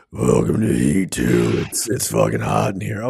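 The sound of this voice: Putting on a character voice, a man speaks at a moderate pace in a very deep, low pitch that is raspy and breathy, with lively intonation.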